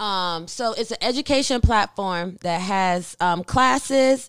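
A woman speaks with an American accent at medium pitch and ordinary pitch variation. The recording is very clean, with a silent background. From Germany (US military family). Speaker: artist and entrepreneur. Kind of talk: podcast interview. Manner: casual, hesitant with fillers.

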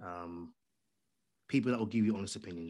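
A man speaks very fast on a very clean recording with a silent background. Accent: London. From London, England. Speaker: podcaster and audio drama creator. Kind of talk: interview.

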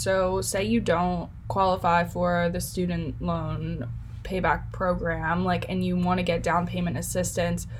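Audible room echo hangs around a woman as she talks. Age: 20s. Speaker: podcast host and college student. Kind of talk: interview.

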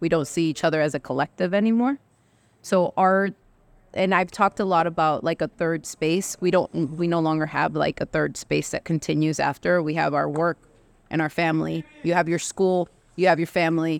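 In a normal speaking voice, a woman talks at a moderate pace in a fairly low pitch with ordinary variation. The recording is very clean and dry, close with no echo, and the background silent. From Mexican-American, US. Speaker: therapist. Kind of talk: casual chat.

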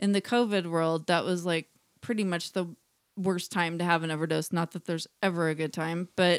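A woman with an unremarkable speaking voice and a fairly low pitch speaks at a fairly quick pace with fairly even intonation, in a dry, close sound with no echo. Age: 40s. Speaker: podcast co-host. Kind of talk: casual chat. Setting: in a home, recording together in person.

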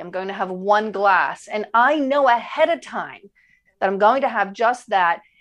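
A woman's plain, everyday voice at a fairly high pitch and fairly slow pace, over a quiet background. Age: 50s. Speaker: chef and weight loss coach. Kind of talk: casual chat.

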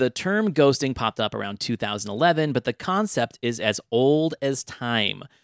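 A man with a normal speaking voice at medium pitch, fairly slow yet with hardly any pauses, lively in intonation, dry and close with no echo, in a very clean recording with a silent background. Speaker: podcast host. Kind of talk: casual chat about dating and relationships.

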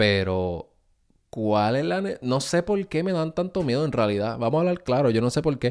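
Against a quiet background, a man at medium pitch speaks in an animated tone at a moderate pace. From Puerto Rico. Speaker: podcast host. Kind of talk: casual monologue.

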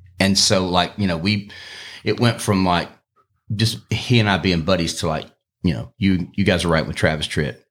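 With an Alabama accent, a man speaks at a moderate pace in a very deep, low pitch with ordinary pitch variation, on a very clean recording with a silent background. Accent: Southern US (Alabama). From US South, eastern Alabama (Opelika area). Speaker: singer-songwriter. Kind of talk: casual chat.

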